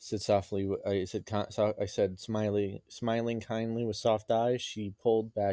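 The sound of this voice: The reading voice sounds unforced. Fairly even intonation runs through it.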